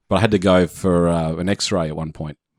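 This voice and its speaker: Using fairly even intonation, a man with an Australian accent speaks in a very deep, low voice. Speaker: podcast co-host. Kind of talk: casual chat.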